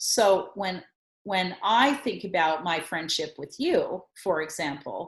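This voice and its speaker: Very slowly, a woman speaks at a medium pitch with lively intonation and a somewhat breathy sound. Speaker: communication coach and workshop leader. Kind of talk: casual conversation, explaining a tool.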